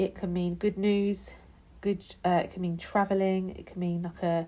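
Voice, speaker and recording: A woman's medium-pitched voice with a British accent, dark and mellow in tone, flat and monotone in intonation, at a moderate pace. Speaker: tarot card reader. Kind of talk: tarot reading. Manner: casual, chatty.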